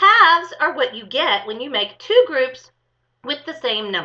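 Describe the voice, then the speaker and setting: A woman uses a put-on, squeaky character voice, high-pitched with very wide pitch swings. It is raised and projected, at a moderate pace, with big swings in loudness. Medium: read story.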